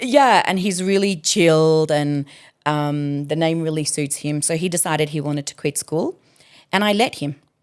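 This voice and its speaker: With an Australian accent, a woman speaks at a moderate pace in a very deep, low voice with ordinary pitch variation, on a very clean recording with a silent background. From Adelaide, Australia. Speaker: educator and artist manager. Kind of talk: interview answer.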